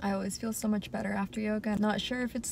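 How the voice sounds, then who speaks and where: A woman's voice comes through with a dry sound with no echo, against noticeable background noise. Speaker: vlogger. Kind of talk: casual vlog chat. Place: car. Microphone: phone near.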